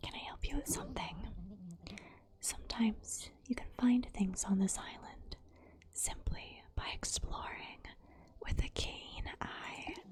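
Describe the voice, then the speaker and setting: Someone whispers at a fairly slow pace. Long, frequent pauses break up the speech. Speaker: ASMR creator. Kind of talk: reading game dialogue aloud. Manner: soft-spoken, whispered.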